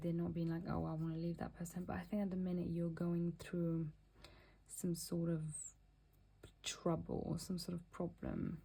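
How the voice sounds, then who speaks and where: A woman's fairly low, somewhat breathy voice with a dark, mellow tone and a non-native accent, at a moderate pace. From Mauritius. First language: not English. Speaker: tarot reader. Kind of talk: tarot reading. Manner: halting.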